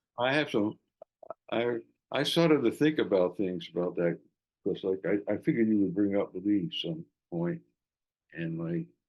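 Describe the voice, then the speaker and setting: A man's fairly low voice at a moderate pace, with very wide pitch swings and long, frequent pauses. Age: 80s+. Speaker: jazz saxophonist and flutist. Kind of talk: casual interview chat. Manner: halting, repetitive starts.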